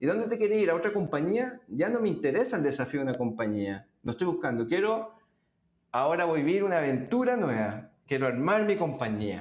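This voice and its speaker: A man speaks at a fairly high pitch and a fairly quick pace. His pitch swings very widely. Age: 40s. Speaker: business executive and investor. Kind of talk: interview.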